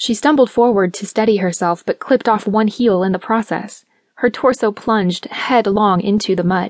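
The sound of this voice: Quiet background behind an unforced reading voice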